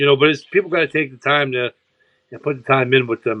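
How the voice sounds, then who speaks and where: A man's medium-pitched, an unremarkable speaking voice with fairly even intonation. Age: 30s. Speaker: boxing podcast host. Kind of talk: casual chat.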